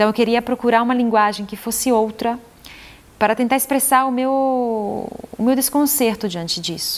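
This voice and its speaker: Against noticeable background noise, a woman with an Italian accent and a fairly high voice speaks at a moderate pace with fairly even intonation. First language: Italian (speaking Portuguese). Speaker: poet and translator. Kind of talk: interview. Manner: halting, with repetitions.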